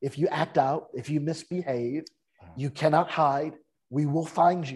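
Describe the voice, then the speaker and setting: Over a quiet background, a man with a Californian accent speaks at a moderate pace, his dark, mellow tone set at a fairly high pitch. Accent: Californian American. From US West Coast, San Francisco Bay Area. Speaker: author and speaker. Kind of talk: interview.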